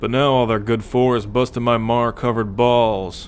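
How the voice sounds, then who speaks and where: A gruff put-on character voice from a man, medium in pitch, at a moderate pace over clear background noise. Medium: audio drama. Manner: cocky, gruff.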